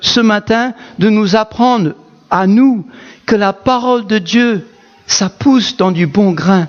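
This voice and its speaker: A man with a non-native accent speaks at a very slow pace. His pitch is high, with ordinary variation. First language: not French (speaking French). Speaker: pastor. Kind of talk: sermon. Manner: animated.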